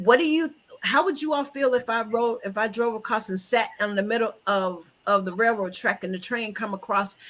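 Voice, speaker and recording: At a moderate pace, a woman with a fairly high pitch and ordinary pitch variation speaks in an ordinary speaking voice. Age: 60s. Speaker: book talk host. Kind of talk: casual chat.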